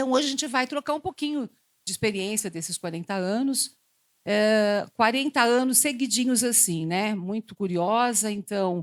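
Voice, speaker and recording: With an unremarkable speaking voice, a woman talks at a moderate pace in a fairly high pitch with lively intonation, the sound dry and close with no echo. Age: 60s. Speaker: psychologist. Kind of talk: panel talk.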